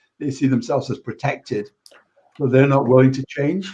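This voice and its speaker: At a fairly quick pace, a man speaks with medium pitch in an unremarkable speaking voice. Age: 60s. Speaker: computer science educator and coding club volunteer. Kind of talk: panel discussion. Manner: repetitive restarts.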